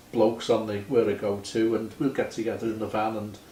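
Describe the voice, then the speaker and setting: A man with a Liverpool accent, medium-pitched and fairly quick, amid audible room echo. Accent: Liverpool (Scouse). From Liverpool, England. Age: 70s. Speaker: retired musician. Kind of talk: casual chat.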